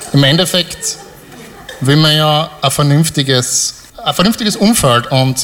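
A man's pitch varies in an ordinary way. Noticeable noise sits in the background. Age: 30s. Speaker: software developer, audience volunteer. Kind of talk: live stage interview. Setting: stage with audience.

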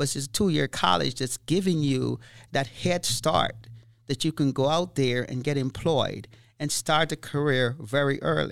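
In a very clean recording with a silent background, a man with a plain, everyday voice talks at a moderate pace, using a fairly high pitch and ordinary pitch variation. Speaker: college IT instructor. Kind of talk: interview.

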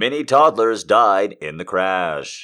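A man's put-on character voice at a fairly slow pace, in a very clean recording with a silent background

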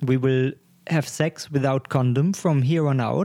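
In a dark, mellow tone with a non-native accent, the voice sounds dry and close with no echo, over a very clean, silent background. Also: man. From Germany. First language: German. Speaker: podcast co-host. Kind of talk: casual chat.

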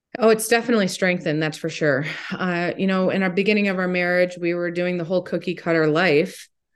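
Against a quiet background, a woman with a fairly low voice speaks at a very fast pace with fairly even intonation and hardly any pauses. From Ohio, Toledo. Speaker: motivational speaker and teacher. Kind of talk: interview.

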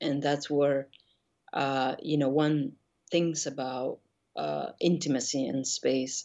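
A woman with a Spanish accent at a very deep, low pitch, very slow, with fairly even intonation and long, frequent pauses. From Argentina, Buenos Aires. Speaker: painter. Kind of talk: interview conversation.

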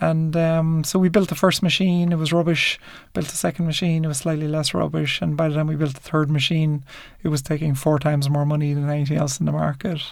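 A man talks at a very fast pace with fairly even intonation. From Ireland. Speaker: entrepreneur. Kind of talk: interview. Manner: hesitant fillers.

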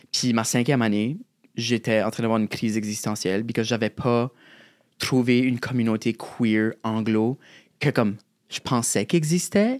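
Over a very clean recording with a silent background, a man with a New Brunswick Acadian accent talks at a moderate pace with fairly even intonation and long, frequent pauses. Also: medium pitch for a man, dry, close sound with no echo. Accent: Acadian French, chiac. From southeast New Brunswick, Acadian (Shediac). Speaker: drag artist and poet. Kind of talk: casual interview.

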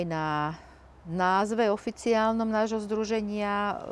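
Very slow, fairly even speech from a woman at medium pitch, in a very clean recording with a silent background. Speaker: activist parent. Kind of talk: interview. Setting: outdoors. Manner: halting.

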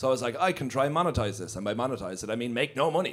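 A man with a medium pitch and an Irish accent, talking at a very fast pace. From Ireland. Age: 30s. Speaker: comedian. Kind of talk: live podcast recording, casual chat. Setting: stage with audience.

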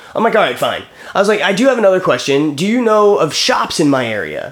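Loud and animated, a man talks at a very fast pace with very wide pitch swings over noticeable background noise. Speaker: podcast co-host. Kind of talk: casual banter, comedic chat. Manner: loud, animated.

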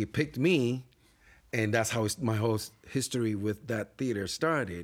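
A man speaks with a Puerto Rican accent. His pitch is medium, with ordinary pitch variation. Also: moderate pace, very even loudness. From Puerto Rico. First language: Spanish. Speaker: theater actor and company co-founder. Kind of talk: casual interview chat.

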